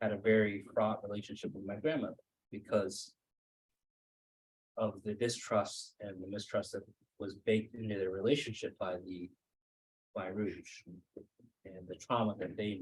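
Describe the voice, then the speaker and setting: The speech moves at a moderate pace with fairly even intonation and long, frequent pauses. The voice is somewhat breathy, with big swings in loudness. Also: man. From Maine. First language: Cambodian. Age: 30s. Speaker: author. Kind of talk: author talk with Q&A. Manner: hesitant, many fillers.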